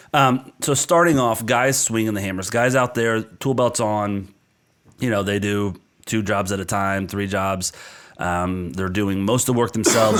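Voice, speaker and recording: A man talks at a moderate pace in a plain, everyday voice, fairly low in pitch with ordinary pitch variation. The recording is very clean, the background silent. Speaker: business coach and podcast co-host. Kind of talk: podcast discussion.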